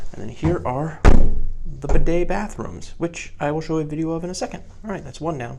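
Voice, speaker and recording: A man speaks quietly at a fairly quick pace. Audible room echo and noticeable background noise surround his voice. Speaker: travel vlogger; teacher. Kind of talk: casual vlog narration. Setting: capsule hotel, indoors; outdoors. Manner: quiet, hushed.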